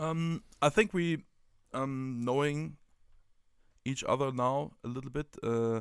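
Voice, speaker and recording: The speaker has a German accent and lively intonation, and the sound is dry and close with no echo. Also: man. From Germany. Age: 30s. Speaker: football coach and tactics writer. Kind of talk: casual podcast conversation. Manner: halting, many fillers.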